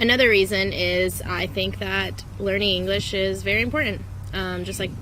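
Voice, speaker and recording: A woman's moderately paced speech comes through noticeable background noise, with audible room echo. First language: not English. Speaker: travel vlogger, English teacher abroad. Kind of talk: casual vlog talk. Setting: outdoors in a park.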